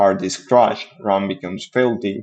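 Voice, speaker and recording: A man with a non-native accent at a moderate pace. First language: not English. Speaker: software developer streamer. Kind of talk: reading aloud with commentary. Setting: live stream. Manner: halting.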